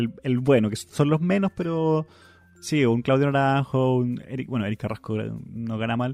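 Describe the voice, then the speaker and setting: Over music in the background, a man with a fairly high pitch speaks with lively intonation. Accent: Chilean. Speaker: podcast co-host. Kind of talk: casual chat.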